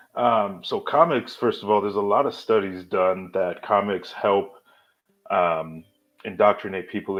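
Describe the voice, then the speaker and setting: A man talks at a moderate pace. His pitch sits fairly low. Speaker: cartoonist and high school English teacher. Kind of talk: casual interview chat. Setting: live online podcast.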